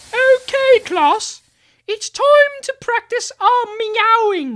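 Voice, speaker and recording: A cartoonish character voice comes through, squeaky and extremely high in pitch. It moves at a very slow pace. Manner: patient, encouraging.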